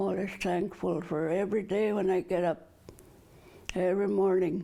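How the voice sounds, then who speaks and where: Her fairly low pitch and dark, mellow tone carry vocal fry as the woman speaks at a moderate pace with fairly even intonation. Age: 70s. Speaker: community elder. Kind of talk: personal testimony.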